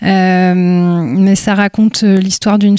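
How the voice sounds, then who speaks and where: Here a woman speaks at a medium pitch with a dark, mellow tone. Her intonation is monotone and flat. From Brittany, Côtes d'Armor. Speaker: photographer. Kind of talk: interview, casual conversation. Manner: reflective, hesitant with fillers.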